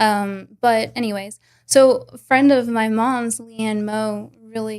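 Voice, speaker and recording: Her pitch is fairly high and her intonation monotone and flat, at a fairly slow pace. The woman's recording is very clean, with a silent background. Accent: Southern US. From Arkansas. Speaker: martial arts instructor. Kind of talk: casual chat.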